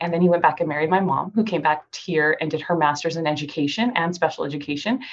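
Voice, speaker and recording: A woman with an American accent, fairly low in pitch, at a very fast pace. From Southern California (Cerritos). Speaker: doctor and kids' company founder. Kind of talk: interview.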